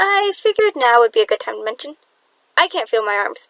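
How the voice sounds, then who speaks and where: In a put-on character voice, a woman speaks at an extremely high pitch with very wide pitch swings, a very fast pace and a shaky quality. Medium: read story. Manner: timid, shaky.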